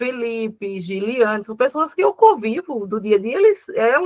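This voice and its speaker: With a dry, close sound and no echo, a woman speaks at a high pitch with very wide pitch swings. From Paraíba backlands, Brazil. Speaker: agribusiness communication speaker. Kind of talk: online talk with Q&A. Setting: video call.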